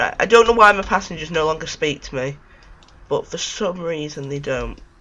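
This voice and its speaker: Over noticeable background noise, a man talks at a fairly quick pace. His pitch is fairly high, with ordinary pitch variation. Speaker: gaming video creator. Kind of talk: gameplay commentary. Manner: casual, halting.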